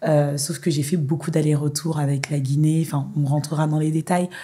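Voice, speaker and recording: Speaking in a flat monotone, a woman has a very deep, low pitch and a somewhat breathy sound. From Paris, France. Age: 40s. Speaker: film director. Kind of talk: interview conversation. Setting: podcast.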